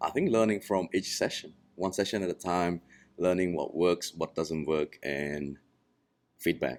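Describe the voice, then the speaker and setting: Ordinary pitch variation marks the fairly slow delivery. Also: man, very deep, low pitch for a man. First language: not English. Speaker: massage therapist. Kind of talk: casual chat. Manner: halting.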